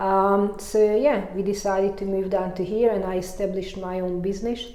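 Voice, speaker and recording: A woman with a strong Hungarian accent speaks in a monotone, flat way, with audible room echo and noticeable background noise. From Hungary. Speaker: mountain bike coach and former racer. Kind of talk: interview. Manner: halting, many fillers.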